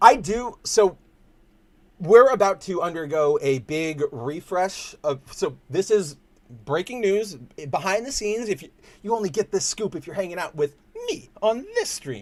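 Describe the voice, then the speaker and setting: High-pitched and with a Californian accent, a man talks at a fairly slow pace with lively intonation. His loudness swings widely. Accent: Californian, surfer-dude cadence. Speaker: podcast host, comics site editor. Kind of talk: casual livestream chat. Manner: talkative.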